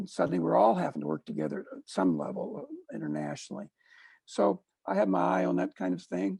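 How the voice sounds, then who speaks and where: The pace is fairly quick as a man speaks. His voice sounds dry and close, without any echo. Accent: American. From Missouri, US. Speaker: consultant and speaker. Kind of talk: casual interview chat. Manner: halting, many uh fillers.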